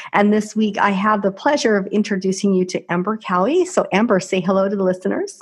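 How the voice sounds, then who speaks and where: With very even loudness and hardly any pauses, a somewhat breathy woman talks at a very fast pace and medium pitch with ordinary pitch variation. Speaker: podcast host. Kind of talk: interview.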